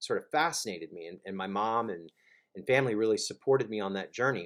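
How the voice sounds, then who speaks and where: The recording is very clean, with a silent background. A man with an American accent speaks at a fairly quick pace in a medium pitch. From South Florida, Miami. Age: 30s. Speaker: recovery advocate and author. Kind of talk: personal testimony. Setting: recording alone in his room. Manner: halting, many fillers and repeats.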